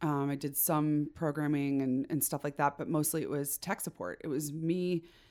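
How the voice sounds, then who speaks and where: A woman speaks at a moderate pace in a dark, mellow tone with a very deep, low pitch and fairly even intonation. The recording is very clean, with a silent background. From Chicago suburbs, US Midwest. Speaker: web developer and podcast host. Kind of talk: casual chat.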